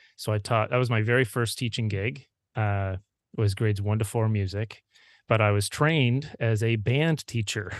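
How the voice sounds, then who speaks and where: Speaking in a Maritime Canadian accent over a quiet background, a man uses a fairly low pitch, ordinary pitch variation, very even loudness, and a moderate pace. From Prince Edward Island, Canada. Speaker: music teacher and author. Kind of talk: casual interview conversation.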